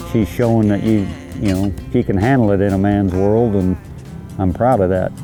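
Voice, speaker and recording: Over music in the background, a man talks at a moderate pace with very even loudness and ordinary pitch variation. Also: fairly low pitch for a man. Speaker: rancher. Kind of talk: interview answer.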